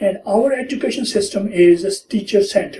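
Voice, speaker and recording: The voice has a dark, mellow tone. It carries a South Asian accent. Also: man. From India and Pakistan. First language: not English. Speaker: retired teacher, immigrant. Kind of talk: life story interview. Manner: hesitant, with many fillers.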